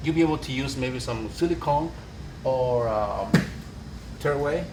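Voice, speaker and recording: The speaker has a Spanish accent and ordinary pitch variation. Audible room echo surrounds the voice. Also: man. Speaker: construction worker. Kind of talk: on-site work walkthrough. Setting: construction site. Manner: halting.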